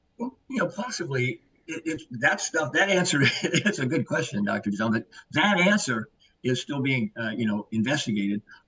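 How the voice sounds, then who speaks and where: A man's voice with a bright, sharp tone, fairly high pitch and very wide pitch swings, recorded dry and close with no echo. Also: moderate pace. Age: 70s. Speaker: herbal supplement educator. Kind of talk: podcast interview. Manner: energetic.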